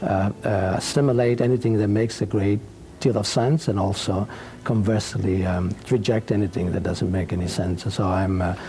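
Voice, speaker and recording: Over noticeable background noise, a man with an Italian accent talks at a moderate pace in a fairly low voice with ordinary pitch variation. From Sicily, Italy (Palermo). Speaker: human rights organization spokesman. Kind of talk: TV interview. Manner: halting, many fillers.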